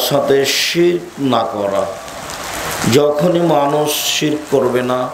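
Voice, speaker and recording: Ordinary pitch variation in a man's voice, noticeable background noise behind it. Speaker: preacher. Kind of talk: sermon. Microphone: podium.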